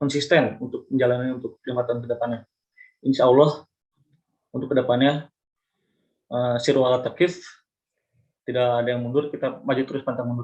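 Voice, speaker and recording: Delivery stays at a moderate pace with monotone, flat intonation. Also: man. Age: 20s. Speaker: university student. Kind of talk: mock job interview. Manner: halting, with fillers and restarts; polite, formal.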